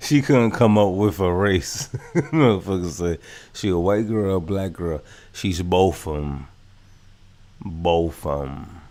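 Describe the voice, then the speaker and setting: A man with a New York accent and a very deep, low pitch speaks at a fairly slow pace, with lively intonation and long, frequent pauses. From New York, Brooklyn (Brownsville). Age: 30s. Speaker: live streamer. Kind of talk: reaction livestream commentary. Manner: animated.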